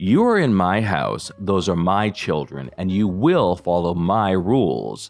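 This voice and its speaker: A man's put-on character voice, very deep, low and rumbling, at a fairly slow pace with hardly any pauses, faint music in the background. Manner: calm, firm, controlled.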